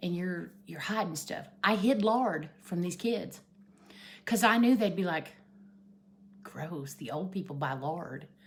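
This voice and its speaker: With an Appalachian accent, a woman speaks at a fairly low pitch with lively intonation and long, frequent pauses, with audible room echo around her. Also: fairly slow pace. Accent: Appalachian Southern US. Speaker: vlogger. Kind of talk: casual chat. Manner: loud.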